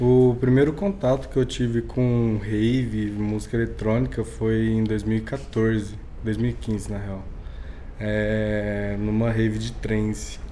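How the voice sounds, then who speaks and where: Audible room echo surrounds a man who talks at a very slow pace. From Minas Gerais, Brazil (Uberlândia). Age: young. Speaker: DJ. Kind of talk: casual interview.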